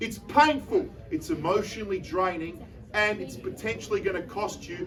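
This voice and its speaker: There is noticeable background noise as an energetic man with a high pitch speaks in an Australian accent with ordinary pitch variation. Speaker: auctioneer. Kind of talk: live property auction calling. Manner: energetic, persuasive.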